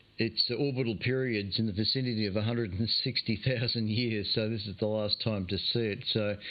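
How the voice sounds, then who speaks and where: A man with an Australian accent at medium pitch, moderate pace and fairly even intonation. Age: 60s. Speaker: amateur radio net host. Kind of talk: radio net monologue. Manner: casual, hesitant with many fillers.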